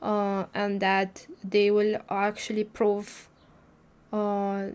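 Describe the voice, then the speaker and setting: With a non-native accent, a woman speaks at a fairly high pitch. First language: not English. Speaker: spiritual livestreamer. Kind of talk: casual livestream talk. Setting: livestream. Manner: halting, many fillers.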